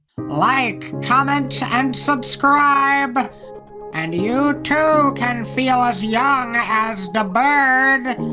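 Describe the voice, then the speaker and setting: Over clear background music, a man in a cartoonish character voice speaks very slowly at an extremely high pitch, his intonation lively and his voice raised and projected. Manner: theatrical, whimsical.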